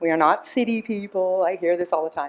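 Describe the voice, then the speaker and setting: Here a woman speaks at a medium pitch with ordinary pitch variation. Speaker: resident delegate. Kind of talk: public delegation presentation. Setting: council chamber podium mic. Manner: loud.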